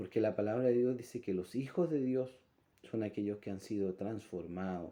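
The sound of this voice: A man speaks with a dark, mellow tone. His pitch is fairly low. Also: ordinary pitch variation, moderate pace.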